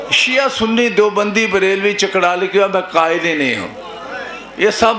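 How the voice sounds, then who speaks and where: Projecting a raised voice at high pitch, a man speaks with ordinary pitch variation amid noticeable background noise and audible room echo. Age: 60s. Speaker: religious preacher. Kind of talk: sermon.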